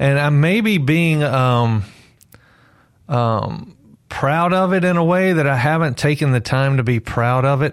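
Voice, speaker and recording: A Mississippi accent at a fairly slow pace, with very even loudness and ordinary pitch variation, in a very clean recording with a silent background. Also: man, fairly high pitch for a man. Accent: US Southern (Mississippi). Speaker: novelist. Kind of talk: radio interview. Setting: studio.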